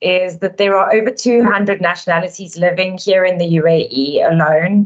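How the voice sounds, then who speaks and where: A woman in a South African accent, medium in pitch, at a moderate pace with ordinary pitch variation. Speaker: relocation company director. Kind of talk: webinar presentation.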